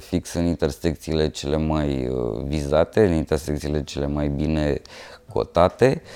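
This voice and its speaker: This man has a dark, mellow tone and talks at a moderate pace. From Romania, Moldavia region (Iași, Bacău). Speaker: street artist. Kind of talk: interview. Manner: halting, with fillers.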